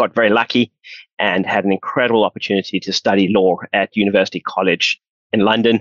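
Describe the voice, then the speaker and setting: A man speaks at a very fast pace in a South African accent. His intonation is monotone and flat. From South Africa, Johannesburg. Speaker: pension fund founder. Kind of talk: podcast interview.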